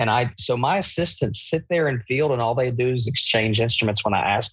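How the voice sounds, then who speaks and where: This is a man speaking. He talks with an Appalachian accent. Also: quiet background. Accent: Appalachian US Southern. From Eastern Kentucky. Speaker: bariatric surgeon. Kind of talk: casual interview.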